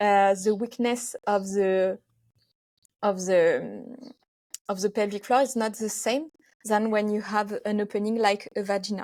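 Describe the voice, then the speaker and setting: A woman with a French accent at a fairly slow pace, with fairly even intonation and long, frequent pauses. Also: medium pitch for a woman. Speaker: physiotherapist. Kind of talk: interview. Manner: halting.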